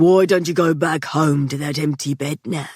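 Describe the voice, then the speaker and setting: At a moderate pace, the speaker puts on a character voice at a middle pitch. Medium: read story. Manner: menacing, sardonic.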